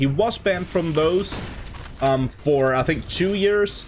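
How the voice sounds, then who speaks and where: A non-native accent at a moderate pace amid noticeable background noise. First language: not English. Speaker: esports commentator. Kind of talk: live commentary. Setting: home room with window open. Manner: animated.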